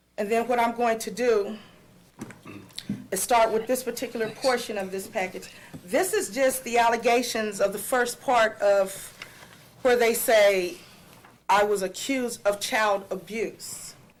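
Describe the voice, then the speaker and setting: Amid noticeable background noise, a woman talks fairly slowly in a fairly high voice, leaving long, frequent pauses. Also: ordinary pitch variation. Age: 40s. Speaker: school bus driver. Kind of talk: public comment at board meeting. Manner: loud when nervous.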